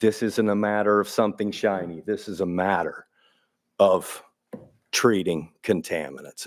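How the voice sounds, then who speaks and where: Pausing long and often, a man with an American accent speaks at a moderate pace and fairly low pitch with ordinary pitch variation. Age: 60s. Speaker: water utility official. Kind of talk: public meeting Q&A. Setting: city council meeting.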